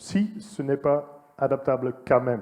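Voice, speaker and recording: Ordinary pitch variation runs through this man's speech. His tone is dark and mellow. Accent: Dutch. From Netherlands. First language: Dutch (speaking French). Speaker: entomologist, former agronomy lecturer-researcher. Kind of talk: conference talk. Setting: conference hall with audience. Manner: hesitant, many fillers.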